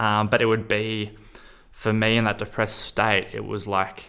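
A man with an Australian accent and a bright, sharp tone speaks at a fairly low pitch and a moderate pace, captured on a very clean recording with a silent background. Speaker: person sharing lived experience of psychosis. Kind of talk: personal testimony.

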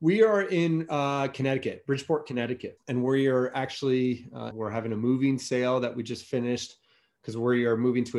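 In an American accent, a normal speaking voice moves at a fairly quick pace. Its pitch varies in an ordinary way. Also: man. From US, Virginia (Alexandria, DC area). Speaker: rowing company marketing director. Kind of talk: interview.

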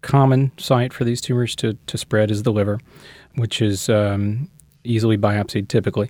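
In an ordinary speaking voice, a medium-pitched man with an American accent talks at a moderate pace with fairly even intonation, the sound dry and close with no echo on a very clean recording with a silent background. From US South, Shreveport, North Louisiana. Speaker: interventional radiologist. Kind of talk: interview.

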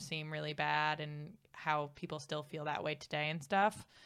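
With an American accent, a woman speaks in a very deep, low pitch and a bright, sharp tone. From United States. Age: 20s. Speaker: comedian. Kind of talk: casual chat.

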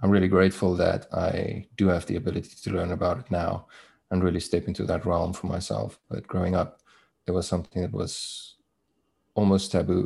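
With a South African accent, a man speaks in a very deep, low pitch and a dark, mellow, somewhat breathy tone. His intonation stays fairly even. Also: fairly quick pace, very clean recording, silent background. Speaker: interview guest sharing divorce story. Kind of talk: casual interview, personal storytelling. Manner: halting, reflective.

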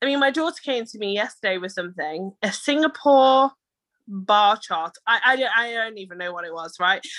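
A woman in a British accent speaks at a fairly high pitch with a bright, sharp tone and lively intonation. Her pace is moderate and the background quiet. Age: 30s. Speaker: entrepreneur. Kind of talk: casual chat.

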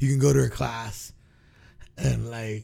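Somewhat breathy, a man talks at a medium pitch. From Guam and California. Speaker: podcast host. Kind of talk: casual chat.

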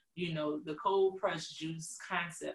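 A woman's somewhat breathy, fairly low-pitched voice. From New Orleans. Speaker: business owner and pharmacist. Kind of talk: casual interview.

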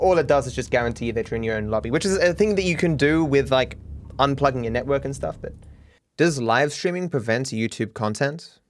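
Lively intonation from a man with an Australian accent and medium pitch, over noticeable background noise. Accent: cultivated Australian, soft R's. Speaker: gaming YouTuber. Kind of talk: casual chat, podcast. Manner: rambling, hesitant, filler words.

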